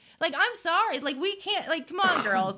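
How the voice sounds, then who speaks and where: With an American accent, a woman speaks in very wide pitch swings over noticeable background noise. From South Florida. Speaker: comedian and podcast host. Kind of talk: casual chat. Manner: rambling, halting with restarts.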